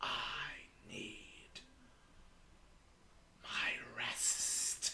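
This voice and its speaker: A whispering, hissing put-on character voice. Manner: menacing.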